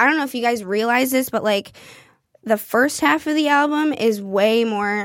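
A woman speaks with a Midwestern accent at a moderate pace. Her pitch is high, with ordinary variation. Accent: general American, Midwestern. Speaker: singer-songwriter. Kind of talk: casual interview chat. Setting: studio.

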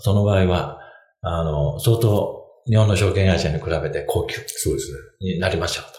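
A man's fairly low voice with lively intonation, audible room echo and music in the background. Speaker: financial consultant. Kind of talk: casual chat. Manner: halting with many fillers.

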